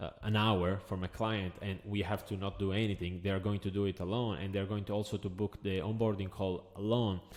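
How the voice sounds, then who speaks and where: A man with an Italian accent speaks at a fairly quick pace with hardly any pauses. His pitch is fairly low and his intonation monotone and flat. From Italy. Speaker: agency owner, business coach. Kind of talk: tutorial. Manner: hesitant, filler-heavy.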